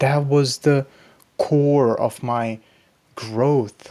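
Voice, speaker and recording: A man talks with fairly even intonation and a slight Pakistani accent. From Pakistani background. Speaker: YouTuber, self-improvement. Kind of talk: casual vlog monologue.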